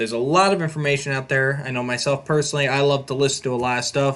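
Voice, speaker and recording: This man has an ordinary speaking voice, fairly high in pitch, and talks at a fairly quick pace. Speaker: podcast host. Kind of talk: casual podcast chat.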